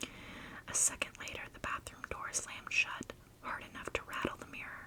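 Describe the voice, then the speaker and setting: Amid noticeable background noise, a woman is whispering at a moderate pace. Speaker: ASMR creator. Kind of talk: first-person horror story narration.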